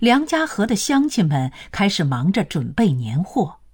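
Very slow and somewhat breathy, a woman with a dark, mellow tone at medium pitch makes very wide pitch swings. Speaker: narrator. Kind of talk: history documentary narration. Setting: studio. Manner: formal, even and authoritative; clear, steady, broadcast-style delivery.

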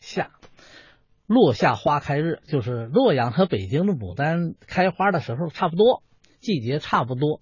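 Somewhat breathy speech at a fairly slow pace, with very wide pitch swings. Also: man, fairly high pitch for a man. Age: 60s. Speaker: folk performing artist and painter. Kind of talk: interview.

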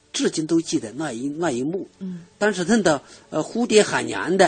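Very wide pitch swings at a moderate pace, over noticeable background noise. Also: man. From Hubei, Chibi. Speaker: author. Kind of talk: radio interview. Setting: radio studio. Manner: halting, many fillers.

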